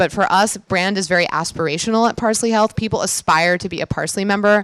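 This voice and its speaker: Speaking at a very fast pace, a woman uses a medium pitch and ordinary pitch variation. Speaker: physician and healthcare founder. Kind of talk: conference talk. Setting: stage with audience. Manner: casual with filler words.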